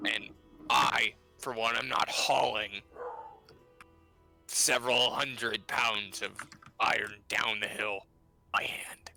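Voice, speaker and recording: In a raspy, put-on character voice at medium pitch, a man speaks at a fairly slow pace with long, frequent pauses over faint music in the background. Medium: actual play. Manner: blunt, practical.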